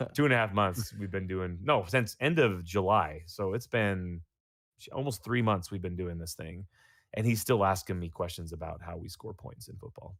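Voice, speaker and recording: Over a silent background in a very clean recording, a man with a very deep, low pitch speaks at a moderate pace, with ordinary pitch variation and big swings in loudness. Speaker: podcast host; youth football coach. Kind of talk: casual chat.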